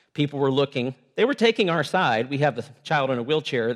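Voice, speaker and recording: Here a man talks in an unremarkable speaking voice at a fairly quick pace. His intonation is lively. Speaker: visiting preacher and missions worker. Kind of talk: sermon. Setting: church.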